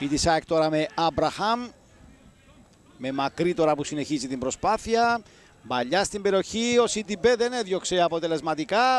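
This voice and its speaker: The man's pitch swings very widely as he talks at a fairly slow pace. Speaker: football commentator. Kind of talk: live football commentary. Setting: broadcast voice-over on match footage.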